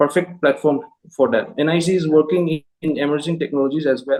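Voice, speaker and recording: With a Manipur accent, this man talks at a fairly quick pace with ordinary pitch variation. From Manipur, northeast India. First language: Manipuri. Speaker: job interview candidate, engineer. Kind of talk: mock job interview. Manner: halting, many fillers.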